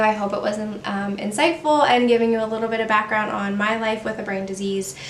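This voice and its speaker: The speech moves at a fairly quick pace. Noticeable background noise and audible room echo surround it. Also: woman. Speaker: beauty vlogger. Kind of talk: personal talk to camera. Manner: halting, stumbles over words.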